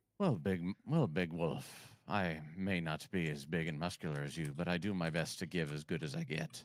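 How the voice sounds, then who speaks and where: A man speaks in a put-on character voice with a very deep, low pitch. He keeps a moderate pace with hardly any pauses. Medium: actual play. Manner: scrappy.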